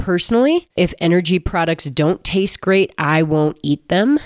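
A woman speaks at a moderate pace in a fairly low pitch. It is a plain, everyday voice with a dry, close sound and no echo. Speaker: podcast host and former triathlete. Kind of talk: casual interview.

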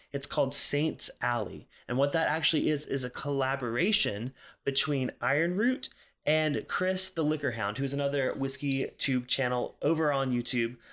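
A man with an ordinary speaking voice and a fairly high pitch speaks at a moderate pace with ordinary pitch variation and very even loudness, on a very clean recording with a silent background. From US South, South Carolina. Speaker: podcast host and whiskey reviewer. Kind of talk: solo casual monologue. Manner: casual, frequent filler words.

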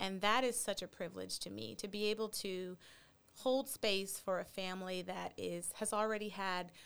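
This is a plain, everyday voice. The recording is very clean, with a silent background. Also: woman. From Texas. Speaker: pediatric psychologist. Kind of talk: interview. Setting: podcast studio.

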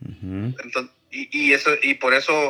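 A man's voice is captured in a very clean recording with a silent background. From Mexicali Valley, Baja California, Mexico. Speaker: podcast co-host. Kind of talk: casual chat.

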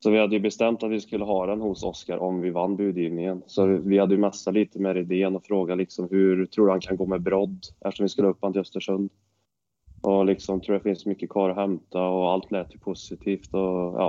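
Fairly quick and monotone, a man speaks with flat intonation in a very deep, low pitch. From Sweden, Värmland (Arvika). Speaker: professional ice hockey player. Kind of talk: casual interview chat.

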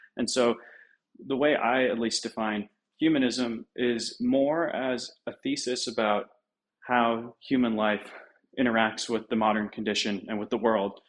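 A man with an ordinary speaking voice talks at a fairly slow pace, medium in pitch. His intonation stays fairly even, and the background is quiet. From United States (moved from UK as small child). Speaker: essay writer and web3 entrepreneur. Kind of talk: podcast interview discussion.

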